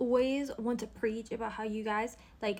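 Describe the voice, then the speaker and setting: A woman's fairly high voice in a British accent, moderately paced, on a very clean recording with a silent background. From London, England. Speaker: social media creator. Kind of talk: opinion monologue. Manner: animated.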